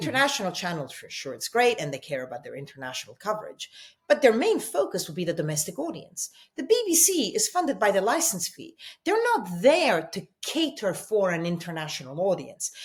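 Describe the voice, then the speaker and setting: Somewhat breathy, a woman at medium pitch speaks with a slight Italian accent and very wide pitch swings. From Italy. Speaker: journalist, TV news presenter. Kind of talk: interview answer.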